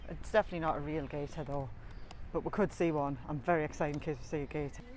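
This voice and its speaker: A woman with a Geordie accent, very deep and low in pitch, with vocal fry and fairly even intonation, at a very fast pace. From northeast England (Tyneside). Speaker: family travel vlogger. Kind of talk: casual vlog narration. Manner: talkative.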